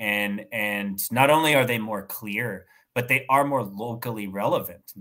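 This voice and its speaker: A man with an American accent talks at a fairly slow pace in a fairly low pitch with a bright, sharp tone. The recording is very clean with a silent background, and his loudness swings widely. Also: ordinary pitch variation. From West Texas. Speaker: language teacher and anarchist organizer. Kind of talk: casual interview conversation.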